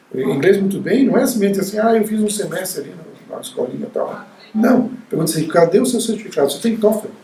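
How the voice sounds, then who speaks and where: A man with a high voice talks very fast with ordinary pitch variation. The recording carries audible room echo and noticeable background noise. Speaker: university professor. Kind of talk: interview. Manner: halting, with frequent repetitions.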